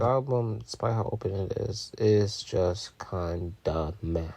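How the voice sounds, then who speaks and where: Somewhat breathy, a man's fairly low voice carries a dark, mellow tone. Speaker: music reviewer. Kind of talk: album review. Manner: casual.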